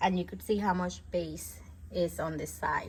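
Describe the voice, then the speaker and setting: Speaking at a medium pitch, a woman sounds somewhat breathy. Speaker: product reviewer. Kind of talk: product review tutorial. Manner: casual, chatty.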